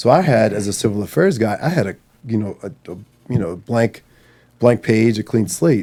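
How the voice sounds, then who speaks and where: A man with an American accent speaks at a moderate pace in a medium pitch. His tone is dark and mellow, and his intonation is lively. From Maryland, US. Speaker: marine veteran. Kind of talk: podcast interview. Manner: animated.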